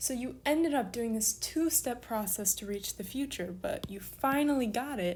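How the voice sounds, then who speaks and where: A woman's fairly high, somewhat breathy voice with lively intonation, a moderate pace, and hardly any pauses. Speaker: online Greek language teacher. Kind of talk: tutorial.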